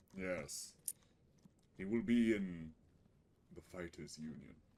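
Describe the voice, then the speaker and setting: This man is doing a put-on character voice. It sits very deep and low, and he talks fairly slowly. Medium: actual play.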